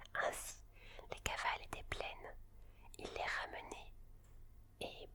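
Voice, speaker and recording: A woman's whispering at a very slow pace over noticeable background noise. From France. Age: 20s. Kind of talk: bedtime story reading. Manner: whispered.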